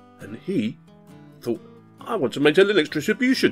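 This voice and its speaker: Over music in the background, a man speaks at a moderate pace in an upbeat tone. His pitch swings very widely. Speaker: Linux tutorial YouTuber. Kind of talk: casual screencast narration. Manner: upbeat, chatty.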